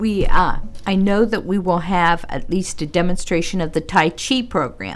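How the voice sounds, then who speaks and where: A woman's plain, everyday voice, medium pitch, ordinary pitch variation and a moderate pace. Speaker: senior center director. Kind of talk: casual radio interview. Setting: radio studio.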